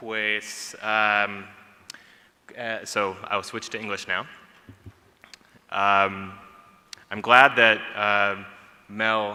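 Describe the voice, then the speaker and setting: A man speaks very slowly in an English accent, with long, frequent pauses. His fairly low voice is monotone and flat, with audible room echo. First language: English (speaking Spanish). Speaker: policy analyst, panelist. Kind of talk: conference talk.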